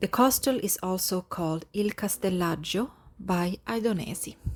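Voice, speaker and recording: A somewhat breathy woman's voice at medium pitch. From Lapland, Sweden. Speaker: travel vlogger living in Sicily. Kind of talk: casual talk to camera, travel narration.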